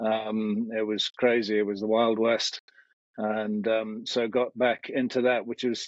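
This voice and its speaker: A man talks at a fairly slow pace. His pitch sits at a medium level. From England (UK). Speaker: military and security trainer. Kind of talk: podcast interview.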